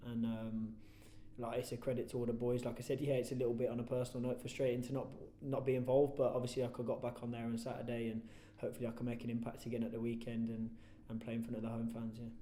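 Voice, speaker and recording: A man with a West Midlands accent talks very fast at a medium pitch in a flat monotone, with audible room echo and noticeable background noise. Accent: Coventry English. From English Midlands, Coventry. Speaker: professional footballer. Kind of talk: post-match style interview. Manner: loud.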